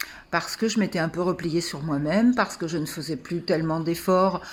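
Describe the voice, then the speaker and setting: A woman at a moderate pace. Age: 60s. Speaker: coaching client. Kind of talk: testimony. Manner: halting.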